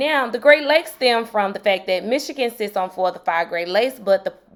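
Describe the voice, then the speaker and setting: A woman with a strong Mississippi accent speaks in a high voice with very wide pitch swings and an animated tone. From Mississippi, US South. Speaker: history teacher and YouTuber. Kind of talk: casual educational video.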